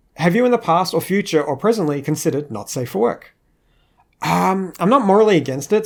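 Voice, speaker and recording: An Australian accent marks this man's speech, which has lively intonation. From Australia, Queensland. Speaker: animator. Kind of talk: Q&A monologue. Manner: casual, hesitant with fillers.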